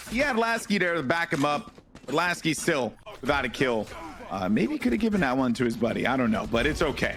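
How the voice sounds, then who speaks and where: A man speaks very fast in a fairly high pitch, his tone animated and his pitch swinging very widely. Noticeable background noise runs underneath. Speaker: esports caster. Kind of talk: live commentary.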